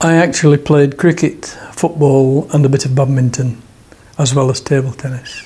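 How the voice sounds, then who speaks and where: A man speaks with a Lancashire accent at a moderate pace. His intonation is monotone and flat. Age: 70s. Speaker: table tennis player and club secretary; former RAF serviceman. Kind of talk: interview answer.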